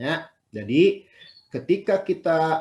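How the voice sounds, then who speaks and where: A man with a Sundanese accent. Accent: Sundanese accent slips out. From West Java (Sundanese). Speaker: university lecturer. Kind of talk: lecture. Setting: video call. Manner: conversational, repetitive fillers.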